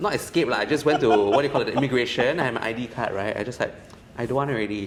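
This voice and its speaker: The man's voice sits at a medium pitch. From Singapore (Thai, raised in Singapore). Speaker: entrepreneur. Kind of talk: casual chat.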